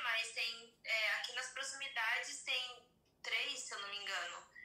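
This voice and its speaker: Audible room echo surrounds a woman who speaks at a very slow pace, with a high pitch and ordinary pitch variation. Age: 30s. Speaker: podcast guest. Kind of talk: casual chat.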